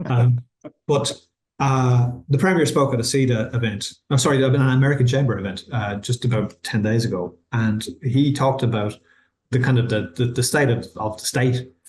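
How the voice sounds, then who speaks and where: Somewhat breathy, a man with an Irish accent talks at a moderate pace with medium pitch and fairly even intonation. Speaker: university vice-chancellor. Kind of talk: webinar interview. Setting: online webinar. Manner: halting, many repetitions.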